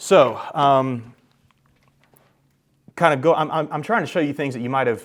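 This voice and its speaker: The voice shows ordinary pitch variation in a very clean recording with a silent background. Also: man. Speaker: workshop presenter on AI tools for real estate. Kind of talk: workshop presentation. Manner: fast; casual with many fillers.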